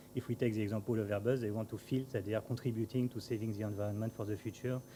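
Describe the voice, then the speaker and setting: At a very fast pace, a man speaks in a French accent with a medium pitch, fairly even intonation and a dark, mellow, somewhat breathy tone. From France. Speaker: aerospace company representative. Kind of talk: conference talk. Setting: conference panel with audience. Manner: halting, many fillers.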